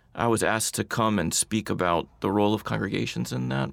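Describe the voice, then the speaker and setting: Vocal fry and very wide pitch swings in a man's voice. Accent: American. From US South. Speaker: nonprofit co-founder with a congregational background. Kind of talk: radio interview. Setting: studio.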